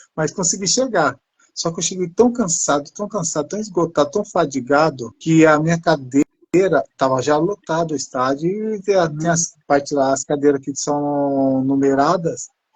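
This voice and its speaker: With ordinary pitch variation and a moderate pace, this is a normal speaking voice. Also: man, fairly high pitch for a man. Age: 50s. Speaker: person living with multiple sclerosis. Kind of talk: casual chat.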